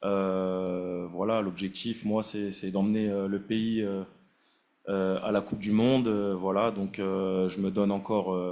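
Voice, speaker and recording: Flat and monotone, a man talks at a fairly low pitch. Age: 30s. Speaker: national team goalkeeper and captain. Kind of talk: press conference. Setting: press conference room. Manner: halting, many fillers and repetitions.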